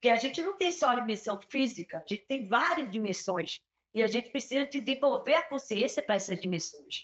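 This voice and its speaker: Very wide pitch swings at a fairly quick pace. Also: woman, high pitch for a woman. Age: 60s. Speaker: peace educator. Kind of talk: panel discussion.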